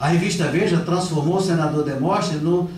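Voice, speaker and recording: Noticeable background noise and audible room echo surround this recording. The speaker is a man with a high pitch. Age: 60s. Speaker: politician and lecturer. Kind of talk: lecture. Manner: conversational, with repetitions.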